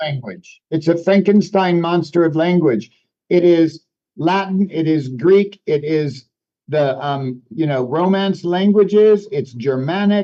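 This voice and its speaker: A man with a high voice and a dark, mellow tone speaks at a fairly slow pace. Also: ordinary pitch variation. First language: French. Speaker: news presenter and author. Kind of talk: casual chat.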